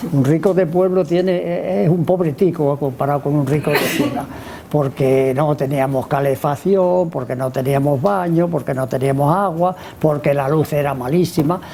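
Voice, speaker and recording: Over noticeable background noise, a man with a fairly high pitch speaks at a moderate pace with ordinary pitch variation. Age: 90s. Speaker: author. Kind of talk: book presentation talk. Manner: halting, with many repetitions and fillers.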